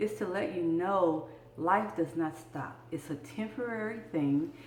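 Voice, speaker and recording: Amid noticeable background noise, a woman with an American accent speaks in a fairly low pitch with ordinary pitch variation. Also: fairly slow pace. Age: 60s. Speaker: vlogger sharing health experience. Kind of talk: personal video blog, encouraging talk.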